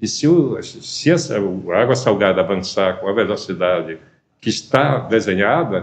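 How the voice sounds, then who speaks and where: A man talks fairly slowly at a fairly low pitch. His voice shows very wide pitch swings. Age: 70s. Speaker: former politician. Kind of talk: TV interview. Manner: halting.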